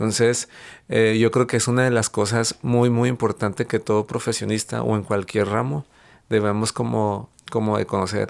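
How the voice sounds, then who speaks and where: Speaking at a moderate pace and medium pitch, a man with an unremarkable speaking voice keeps his intonation fairly even on a very clean recording with a silent background. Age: 30s. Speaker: chef and entrepreneur. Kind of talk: interview conversation.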